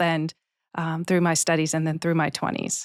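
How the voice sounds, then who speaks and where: On a very clean recording with a silent background and a dry, close sound with no echo, a woman with a Boston accent speaks at a fairly quick pace in a fairly low pitch. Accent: American (Boston), noticeable. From US, Boston area, Massachusetts. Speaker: head of human resources. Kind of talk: interview. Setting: studio.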